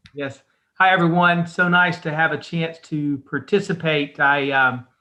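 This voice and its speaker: An American-accented man with a fairly high voice talks at a fairly slow pace with fairly even intonation, an unremarkable speaking voice. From North Carolina. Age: 50s. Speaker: patient. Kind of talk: testimony.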